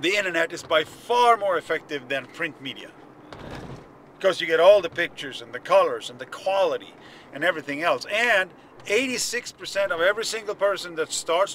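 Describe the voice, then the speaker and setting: A man at a moderate pace, with big swings in loudness, dry sound with no echo and light background noise. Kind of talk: casual vlog chat. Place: car. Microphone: phone near.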